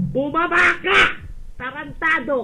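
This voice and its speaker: A man shouting at an extremely high pitch, with audible room echo. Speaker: voice chat room user. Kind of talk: heated argument. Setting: online voice chat room. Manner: loud.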